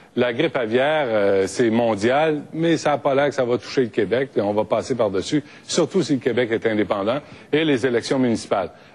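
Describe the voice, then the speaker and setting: A man with an ordinary speaking voice talks at a moderate pace and medium pitch. His loudness stays very even, and his pitch varies in an ordinary way. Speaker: radio host. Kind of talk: debate moderation.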